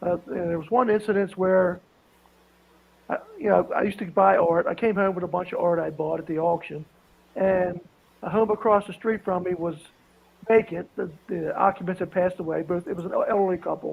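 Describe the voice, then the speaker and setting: A man with an Appalachian accent speaks in a high pitch at a fairly quick pace. His intonation stays fairly even. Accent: Appalachian Southern US. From southwestern Virginia, US South (Appalachia). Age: 60s. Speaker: police officer and auctioneer. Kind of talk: storytelling.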